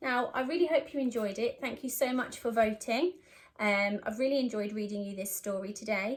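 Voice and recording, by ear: A woman at a fairly high pitch and a moderate pace. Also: ordinary pitch variation.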